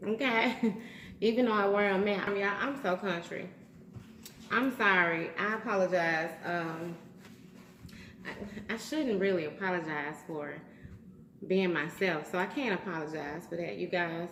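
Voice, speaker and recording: Speaking with a Southern US accent at a fairly slow pace, a woman uses ordinary pitch variation and takes long, frequent pauses, with audible room echo and noticeable background noise. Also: medium pitch for a woman. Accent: Southern US, country. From US South. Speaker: YouTuber. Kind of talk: casual vlog, eating challenge. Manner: loud; animated.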